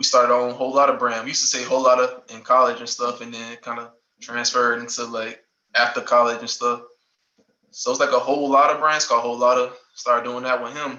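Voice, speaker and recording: Speaking very fast in a Southern accent, a man with a medium-pitched voice keeps a monotone, flat intonation while his loudness swings widely. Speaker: former college athlete and clothing brand owner. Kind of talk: casual interview. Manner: halting, many fillers.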